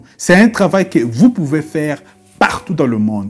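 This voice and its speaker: Music plays in the background as a man talks. His fairly high voice moves in very wide pitch swings. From DR Congo. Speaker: YouTuber on online business. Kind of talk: video tutorial. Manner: halting, many repetitions; mixes French and English.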